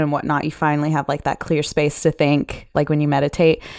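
Very clean recording of a woman speaking, the background silent. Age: 20s. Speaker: sex worker and podcaster. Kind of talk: casual chat.

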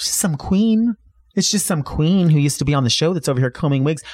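The man talks at a very fast pace, somewhat breathy. The recording is very clean with a silent background and a dry, close sound with no echo. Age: 40s. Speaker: drag queen and wig stylist. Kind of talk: casual interview chat.

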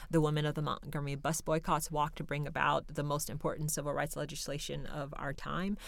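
Very fast speech with hardly any pauses and monotone, flat intonation. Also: woman, very deep, low pitch for a woman. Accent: American. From Seattle, Central District. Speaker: nonprofit co-founder. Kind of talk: interview. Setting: studio.

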